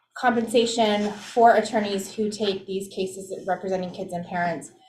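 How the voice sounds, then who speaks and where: Audible room echo surrounds a woman speaking at a medium pitch and a moderate pace. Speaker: commission staff member. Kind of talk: board meeting report. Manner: loud.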